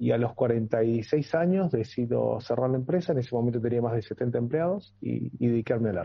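A man with a Rioplatense accent speaks at a medium pitch with ordinary pitch variation, somewhat breathy and with hardly any pauses. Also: moderate pace. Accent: Argentine Rioplatense Spanish. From Argentina, Entre Ríos. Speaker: muralist. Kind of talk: radio interview. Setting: video call.

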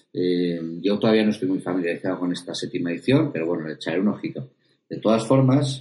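This man's voice sits very deep and low in pitch. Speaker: tabletop roleplaying podcast host. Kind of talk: casual chat. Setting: video recording.

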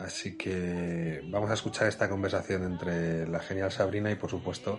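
A man's very deep, low voice at a moderate pace, fairly even in intonation, with music in the background. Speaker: podcast host for an elderly care company. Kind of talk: scripted narration.

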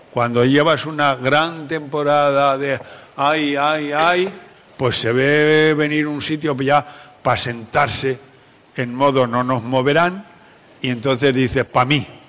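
A fairly high-pitched man speaking at a very slow pace, with noticeable background noise. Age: 70s. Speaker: psychologist and conference speaker. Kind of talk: talk to a live audience. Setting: stage with audience. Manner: animated.

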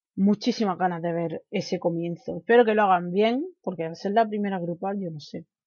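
A woman with a normal speaking voice talks at a fairly quick pace with hardly any pauses, at a medium pitch with ordinary pitch variation. Her loudness swings widely. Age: 20s. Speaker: podcast host. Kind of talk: solo commentary podcast.

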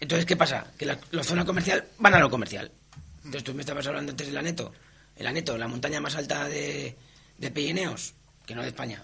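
Speaking very fast, a man with a fairly high voice and ordinary pitch variation swings widely in loudness. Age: 50s. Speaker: mountaineer. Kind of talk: interview.

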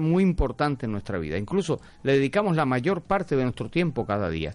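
Very wide pitch swings run through this man's speech. He talks at a very fast pace. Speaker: radio host. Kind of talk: casual radio talk show. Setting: radio studio.

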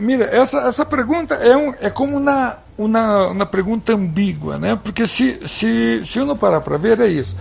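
Hardly pausing at all, a man speaks at a moderate pace. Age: 50s. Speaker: TV drama director. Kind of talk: interview.

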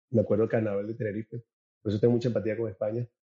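With a dry, close sound and no echo, a man speaks at a medium pitch in a somewhat breathy, dark, mellow tone and a monotone, flat intonation. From Venezuela (Caracas). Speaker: events producer and networker. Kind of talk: interview conversation.

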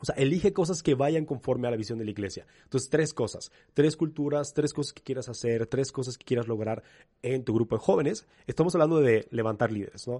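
A man's dark, mellow voice at a fairly quick pace, with big swings in loudness. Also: medium pitch for a man, ordinary pitch variation. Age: 30s. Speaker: youth pastor. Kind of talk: interview.

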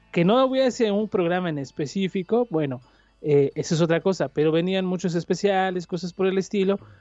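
Music plays behind a man with a Mexico City accent whose high voice shows ordinary pitch variation. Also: fairly quick pace. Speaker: podcaster. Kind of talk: casual chat.

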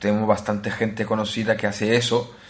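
His pitch sits fairly low for a man's voice. The delivery stays flat and monotone throughout. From Italy (Naples). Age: 20s. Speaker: tech podcast host. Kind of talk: casual chat.

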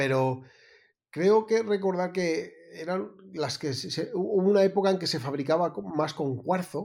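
Speaking fairly slowly, a man uses a high pitch with ordinary pitch variation. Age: 40s. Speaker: photographer, podcast co-host. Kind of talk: casual chat. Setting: remote call, different continents. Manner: halting, many fillers and repetitions.

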